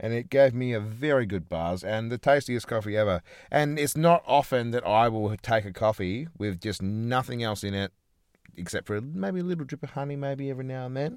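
Ordinary pitch variation marks a man's speech in an Australian accent. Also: medium pitch for a man, fairly quick pace. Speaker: podcast co-host. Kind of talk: casual chat. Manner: loud.

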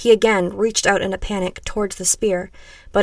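The reading voice is unforced. Its intonation remains fairly even.

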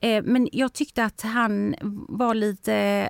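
Fairly high pitch from a woman, on a very clean recording with a silent background. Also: dry, close sound with no echo. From Sweden. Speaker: TV personality. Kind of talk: casual chat. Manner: animated.

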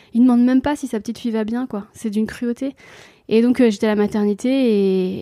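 The tone is dark and mellow, the intonation fairly even, and the pace fairly quick. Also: woman. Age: 40s. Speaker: comedian and mother. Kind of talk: interview conversation.

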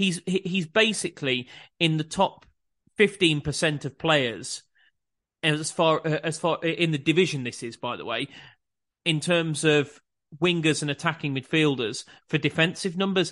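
Against a quiet background, the speaker goes at a fairly slow pace with long, frequent pauses and ordinary pitch variation. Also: man, fairly high pitch for a man. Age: 40s. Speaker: football podcast host. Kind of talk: casual football analysis chat.

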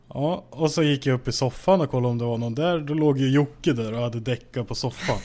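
A man speaks at a very fast pace with hardly any pauses, his medium-pitched voice dark and mellow in tone, with ordinary pitch variation on a very clean recording with a silent background. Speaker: podcast host. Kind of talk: casual chat. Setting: at home.

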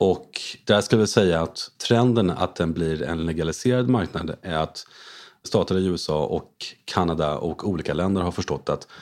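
Against a quiet background, a man with a very deep, low pitch speaks at a moderate pace with ordinary pitch variation. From France. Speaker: investor, former short seller. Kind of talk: interview.

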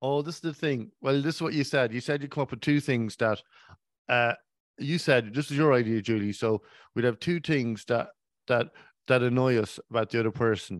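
In an Irish accent, the speaker goes at a fairly quick pace with ordinary pitch variation, in a dry, close sound with no echo over a quiet background. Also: man, medium pitch for a man. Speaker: podcast co-host. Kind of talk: casual chat. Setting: at home.

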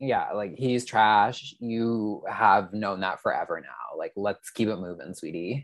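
An unremarkable speaking voice belongs to a man with a Canadian accent and a fairly low pitch. He talks at a fairly slow pace with hardly any pauses and ordinary pitch variation. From Canada. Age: 30s. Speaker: Instagram reality TV commentator. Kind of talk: casual chat.

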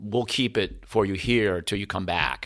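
A man with an American accent speaks in a normal speaking voice, fairly low in pitch with fairly even intonation, in a very clean recording with a silent background. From US Northeast, Keene, New Hampshire. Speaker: musician. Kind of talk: casual chat. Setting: studio.

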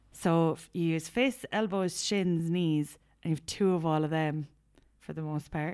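Speaking at a moderate pace, a woman has a fairly low pitch with ordinary pitch variation. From Ireland. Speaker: podcast co-host. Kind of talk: casual chat. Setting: recording while travelling in Thailand.

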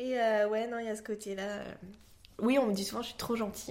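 Speaking fairly quickly, a woman uses a monotone, flat intonation at a fairly high pitch. Audible room echo surrounds her voice. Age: 30s. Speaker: podcast guest. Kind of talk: casual interview.

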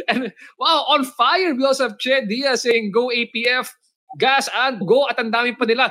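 A man's raised, projected voice, extremely high in pitch, with a bright, sharp tone, ordinary pitch variation, very even loudness and a moderate pace. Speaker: podcast host. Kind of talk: interview. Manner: animated.

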